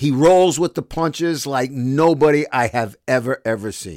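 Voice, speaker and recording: Fairly high-pitched man in a Brooklyn accent, animated with ordinary pitch variation, in a very clean recording with a silent background and a dry, close sound with no echo. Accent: New York (Brooklyn). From New York City, Brooklyn. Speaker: sports broadcaster and podcast host. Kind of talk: casual monologue podcast.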